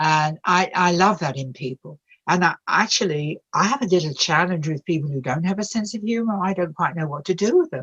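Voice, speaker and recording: Speaking at a fairly quick pace with hardly any pauses, a woman with an English accent has a fairly low pitch and lively intonation. The sound is dry and close, with no echo. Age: 80s+. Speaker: bereavement and addiction counselor. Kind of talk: interview. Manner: animated.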